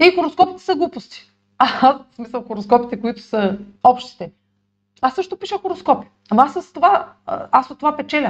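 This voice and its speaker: A woman speaks in a high voice with very wide pitch swings. Her loudness swings a lot too. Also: moderate pace. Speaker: astrologer YouTuber. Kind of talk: monologue video. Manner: halting, many fillers.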